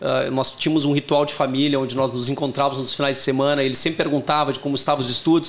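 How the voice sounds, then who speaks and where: A man speaks over noticeable background noise. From Porto Alegre, southern Brazil. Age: 40s. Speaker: tech company CEO. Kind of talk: interview.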